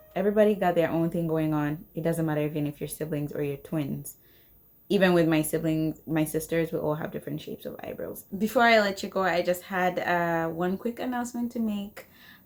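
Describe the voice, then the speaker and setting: A woman with a fairly low pitch speaks. Her pace is fairly quick. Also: ordinary pitch variation. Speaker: beauty youtuber, makeup artist. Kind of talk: tutorial. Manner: chatty, talkative.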